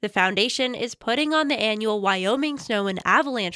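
A woman with a plain, everyday voice speaks at a moderate pace with lively intonation. The recording is very clean with a silent background. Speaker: radio news reporter. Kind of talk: scripted local news report. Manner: even, brisk, formal reporter tone.

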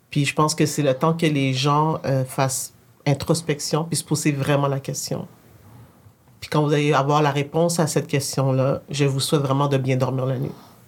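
A woman's very deep, low pitch at a moderate pace, monotone and flat in intonation. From Quebec. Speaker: tech entrepreneur. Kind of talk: casual conversation.

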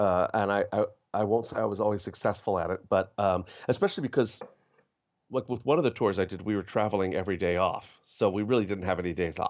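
At a fairly quick pace, a man with a fairly low voice speaks against a quiet background. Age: 50s. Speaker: actor. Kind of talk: interview. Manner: halting.

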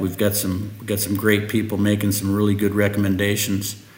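A man with a Midwestern US accent speaks at a fairly quick pace and a fairly low pitch. The room echo is audible, and there is noticeable background noise. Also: hardly any pauses. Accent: US Midwest. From Nebraska. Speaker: agronomist. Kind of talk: interview.

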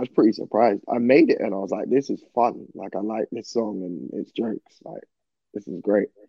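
A man talks at a fairly quick pace in a London accent. His loudness swings widely. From southeast London. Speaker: singer-songwriter. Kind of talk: casual interview chat. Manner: hesitant, filler-heavy.

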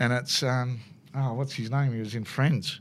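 A man with an Australian accent talks at a medium pitch with fairly even intonation. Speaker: motorsport commentator. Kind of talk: casual interview, storytelling. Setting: racetrack. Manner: chatty, laughs often.

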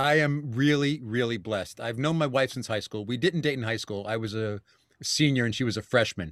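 Ordinary pitch variation in a New York accent, on a very clean recording with a silent background. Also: man, medium pitch for a man. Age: 50s. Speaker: actor and voiceover artist. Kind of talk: casual interview.

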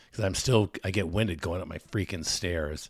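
A man talks at a fairly quick pace with vocal fry and ordinary pitch variation. The recording is very clean, with a silent background. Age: middle-aged. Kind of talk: casual chat. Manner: animated, excitable.

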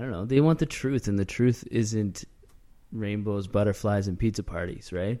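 A man with a Canadian accent speaks in a fairly low voice with a dark, mellow tone. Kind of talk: casual banter interview.

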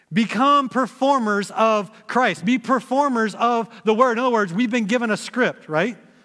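With an American accent, a man talks at a moderate pace in an extremely high pitch, his raised, projected voice bright and sharp, keeping very even loudness, ordinary pitch variation and hardly any pauses. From Texas. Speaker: pastor. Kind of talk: sermon. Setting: church.

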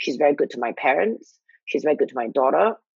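A woman at a moderate pace, dry and close with no echo. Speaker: podcast host. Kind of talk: casual chat. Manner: animated.

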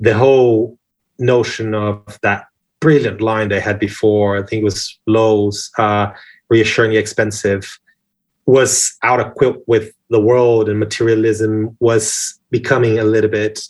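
Against a quiet background, a man speaks at a fairly slow pace. His pitch is fairly low and his intonation monotone and flat. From Brazil. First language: Portuguese. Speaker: advertising creative director. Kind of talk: interview.

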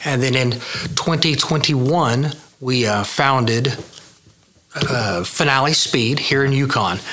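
Over noticeable background noise and audible room echo, a man with an American accent speaks at a medium pitch and a very slow pace, his loudness very even. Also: ordinary pitch variation. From Oklahoma, Midwest City. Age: 50s. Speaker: custom car builder. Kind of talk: casual interview chat.

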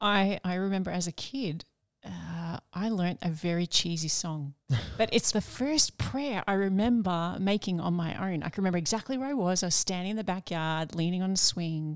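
Ordinary pitch variation and a moderate tempo in an unremarkable speaking voice. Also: woman, medium pitch for a woman. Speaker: nun and podcast co-host. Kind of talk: casual discussion of a spiritual book.

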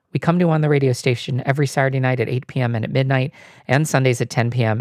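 Here a man has a medium pitch and a plain, everyday voice. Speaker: radio host. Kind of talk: radio announcer patter between songs, back-announcing tracks and promoting the show. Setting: radio station broadcast. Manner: smooth, even, brisk announcer delivery.

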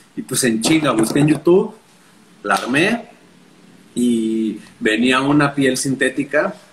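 Over noticeable background noise, a man with a fairly high voice speaks very slowly with long, frequent pauses, lively intonation and very even loudness. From Mexico City. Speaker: journalist and punk musician. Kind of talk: casual chat.

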